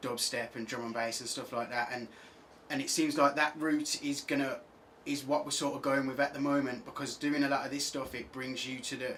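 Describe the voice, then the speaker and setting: In an English accent, a man speaks at a fairly quick pace with monotone, flat intonation. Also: fairly high pitch for a man. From England, Birmingham. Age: 20s. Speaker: singer-songwriter. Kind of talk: radio interview. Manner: halting, many fillers.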